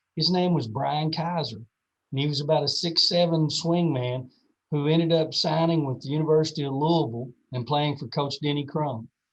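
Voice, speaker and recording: A man with a Kentucky accent speaks at a fairly high pitch and a moderate pace. His voice is somewhat breathy, and his intonation is fairly even. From central Kentucky, around Lexington. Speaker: athletic administrators' association executive. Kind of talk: podcast interview. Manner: hesitant, many fillers.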